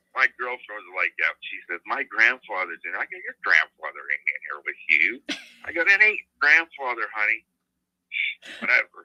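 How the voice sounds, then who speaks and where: A man speaks at medium pitch and a moderate pace, his tone bright and sharp, with vocal fry. His pitch swings very widely and his loudness rises and falls sharply, in a dry, close sound with no echo. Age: 60s. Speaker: motivated seller on a phone call, retired railroad worker. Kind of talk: phone negotiation. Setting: phone call. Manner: casual, blunt.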